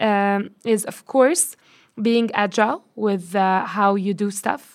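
A woman with a Lebanese accent at a very slow pace. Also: very clean recording, silent background. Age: 20s. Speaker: marketer and data analyst. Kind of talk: interview. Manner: hesitant, many fillers.

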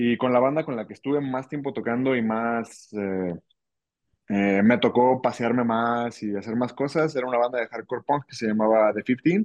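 A man speaks at a moderate pace with medium pitch and ordinary pitch variation. His is a plain, everyday voice. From Ciudad Guzmán, Jalisco, Mexico. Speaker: drummer. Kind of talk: casual interview chat.

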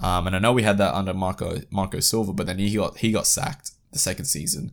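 On a very clean recording with a silent background, a man with an Australian accent speaks quite quickly at a fairly low pitch and with fairly even intonation. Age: 20s. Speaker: football podcast host. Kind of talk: solo football podcast commentary.

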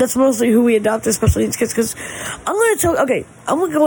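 Noticeable background noise is present. The words come at a very fast pace. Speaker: podcaster. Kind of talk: casual chat.

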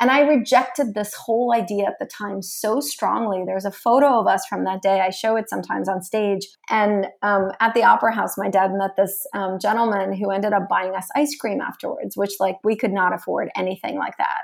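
A woman with vocal fry talks at medium pitch with ordinary pitch variation and hardly any pauses. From Russia. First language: Russian. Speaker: author and entrepreneur. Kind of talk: interview. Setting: home kitchen office. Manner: animated.

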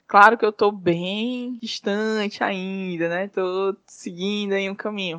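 A woman speaks very slowly, barely pausing, at a medium pitch with fairly level intonation. Her tone is bright and sharp, and the sound is dry and close with no echo. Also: quiet background. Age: 30s. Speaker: fashion designer and entrepreneur. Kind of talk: interview.

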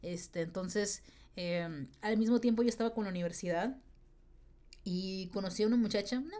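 The woman's tone is dark and mellow. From northern Mexico, Tijuana. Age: 20s. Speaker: podcast host. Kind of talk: casual monologue. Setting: home recording. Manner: fast; stutters when excited.

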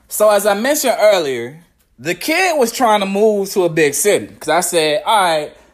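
In an American accent, a man with a high pitch speaks at a moderate pace in an animated tone, his pitch swinging very widely. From Virginia, US. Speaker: podcast host. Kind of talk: casual monologue.

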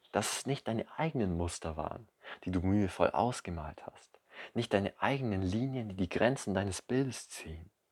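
On a very clean recording with a silent background, dry and close with no echo, a man with a fairly low pitch speaks at a moderate pace with lively intonation. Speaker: poet and podcast host. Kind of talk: poetry slam performance, spoken word. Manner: rhythmic, measured, emotive delivery; intimate, direct address to the listener.

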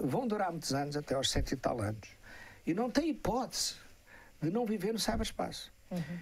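Pausing long and often, a man talks at a moderate pace in a high pitch with very wide pitch swings. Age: 70s. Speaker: cybersecurity expert, professor. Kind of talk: interview on a live stream. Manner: halting, with many repetitions.

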